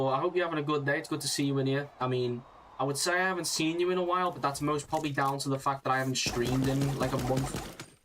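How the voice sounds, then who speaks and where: A man's fairly high voice with a British accent, very fast pace and fairly even intonation, over noticeable background noise. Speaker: gaming streamer. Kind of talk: casual live-stream chat.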